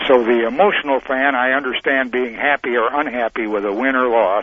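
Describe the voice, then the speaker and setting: Over noticeable background noise, a man talks at a fairly quick pace with a medium pitch and ordinary pitch variation. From Montana. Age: 80s+. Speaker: caller. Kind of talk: sports call-in opinion. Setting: phone call.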